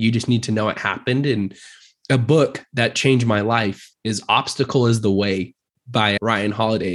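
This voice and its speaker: This man has an unremarkable speaking voice, medium in pitch, with an American accent. His intonation is fairly even over a quiet background. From Utah (Murray). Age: 20s. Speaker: real estate agent. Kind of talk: casual interview.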